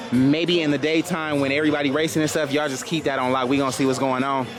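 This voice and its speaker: A man talks at a very fast pace in a fairly high pitch, with music in the background and audible room echo. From not from Houston. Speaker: motorcycle vlogger. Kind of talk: casual vlog walkaround. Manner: animated.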